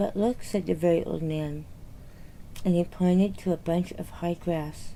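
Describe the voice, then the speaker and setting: Whispering in a soothing tone, a woman speaks at a fairly slow pace. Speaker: children's book reader. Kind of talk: reading aloud. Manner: soothing, ASMR-like without whisper.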